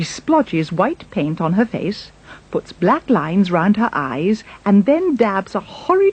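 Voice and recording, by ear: The text is read aloud. The voice stays natural.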